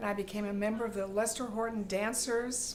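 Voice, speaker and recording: A woman talks at a fairly high pitch and a moderate pace, her intonation flat and monotone. Noticeable background noise and audible room echo surround her voice. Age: 80s+. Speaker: retired dancer. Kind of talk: testimony.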